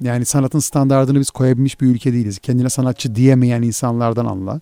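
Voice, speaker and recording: On a very clean recording with a silent background, a man talks at a fairly quick pace in a medium-pitched, dark, mellow tone. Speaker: podcast host. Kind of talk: casual chat.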